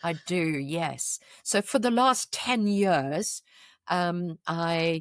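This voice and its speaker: Speaking very slowly in a strong South African accent, a woman with a fairly low pitch uses lively intonation, the sound dry and close with no echo on a very clean recording with a silent background. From South Africa, KwaZulu-Natal (Pietermaritzburg). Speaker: charity founder. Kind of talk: podcast interview.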